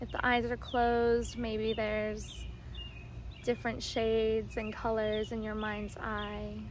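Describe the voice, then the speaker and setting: In a soothing, gentle tone, a woman speaks at a fairly slow pace, the sound dry with no echo and light background noise behind her. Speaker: somatic practitioner and video creator. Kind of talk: guided meditation. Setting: outdoors. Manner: slow, soothing, gentle and calm, with pauses. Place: garden. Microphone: phone near.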